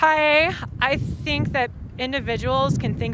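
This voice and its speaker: The sound is dry with no echo. Noticeable background noise is present. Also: woman. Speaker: protester. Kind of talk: impromptu opinion statement; interview answer. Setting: outdoors at a protest. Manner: impassioned, fluent. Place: street. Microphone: lapel.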